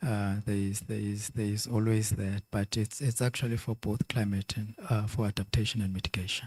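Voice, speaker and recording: Speaking at a moderate pace, a man uses a fairly low, somewhat breathy voice with monotone, flat intonation. The recording is very clean, with a silent background and a dry, close sound without echo. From South Africa. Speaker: conference speaker, financial regulator. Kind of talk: conference Q&A answer.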